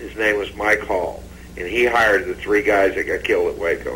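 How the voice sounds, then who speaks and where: The voice belongs to a man. Noticeable background noise can be heard. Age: 60s. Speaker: investigator. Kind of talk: TV interview. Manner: animated.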